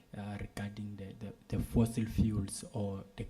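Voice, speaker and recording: A man with a fairly low pitch speaks at a fairly slow pace in a dark, mellow, somewhat breathy tone with monotone, flat intonation. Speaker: civil society delegate. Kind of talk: question from the floor at a policy meeting. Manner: halting, many fillers and repeats.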